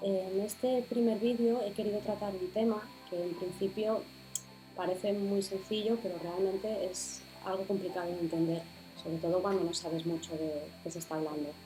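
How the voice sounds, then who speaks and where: Over music in the background, a woman at medium pitch speaks at a moderate pace with fairly even intonation. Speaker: spirituality podcaster. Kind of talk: explanatory video podcast talk.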